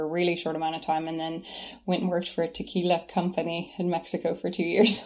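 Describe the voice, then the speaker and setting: A woman with a Kentucky accent and fairly low pitch on a very clean recording with a silent background. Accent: American, Kentucky. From US Kentucky. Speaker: shop co-founder. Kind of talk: casual interview chat.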